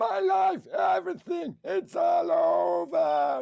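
Putting on a character voice, a man speaks at a very slow pace in a high pitch.

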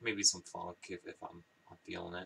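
At a moderate pace, a man speaks with light background noise. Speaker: record collector vlogger. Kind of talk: casual vlog chat. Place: home room. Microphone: webcam.

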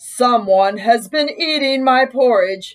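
A female-sounding, put-on character voice speaks at a high pitch and a fairly slow pace.

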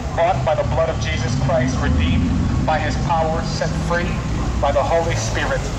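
A man speaking at a moderate pace over loud background noise. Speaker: street preacher. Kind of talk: sermon. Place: street.

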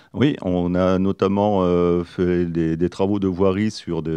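A man speaks with a very deep, low pitch and a dark, mellow tone, his intonation fairly even. The sound is dry with no echo, and the background is quiet. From northern France, Pas-de-Calais; northern France. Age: 40s. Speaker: mayoral candidate; candidate. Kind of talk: radio interview. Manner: halting, many hesitations. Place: studio. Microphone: studio mic.

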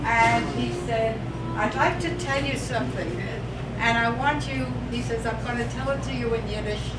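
A woman speaks at a moderate pace. Loud background noise is present throughout. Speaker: birthday honoree. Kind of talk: speech at a birthday party. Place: hall. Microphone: camera far.

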